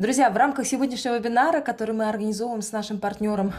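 Ordinary pitch variation in a woman's voice of dark, mellow tone. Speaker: webinar moderator. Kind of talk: event moderation. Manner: hesitant filler sounds. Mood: friendly, upbeat.

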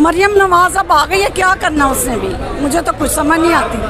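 A woman speaks at an extremely high pitch with noticeable background noise. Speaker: street interviewee. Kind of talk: street interview answer. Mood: frustrated about prices. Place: market.

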